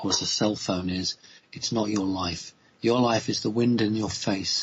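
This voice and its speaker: At a moderate pace, a man with an English accent speaks at a fairly low pitch. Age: 50s. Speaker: spiritual speaker. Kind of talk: radio interview. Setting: live radio show.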